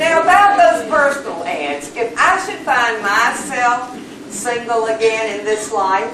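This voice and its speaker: With very wide pitch swings, a woman speaks at a fairly slow pace amid noticeable background noise. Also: fairly high pitch for a woman. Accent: Southern US. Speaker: comedian. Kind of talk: stand-up comedy routine.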